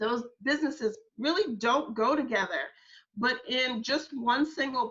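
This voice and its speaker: A woman with a bright, sharp tone speaks in an animated way at a fairly slow pace with ordinary pitch variation. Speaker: social media workshop presenter. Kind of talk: workshop presentation.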